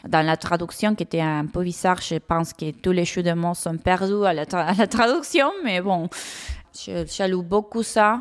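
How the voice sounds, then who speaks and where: Here a woman speaks at a fairly slow pace. Her voice has a medium pitch. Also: ordinary pitch variation. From Argentina. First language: Spanish (speaking French). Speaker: comics author. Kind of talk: interview. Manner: halting, frequent repetitions.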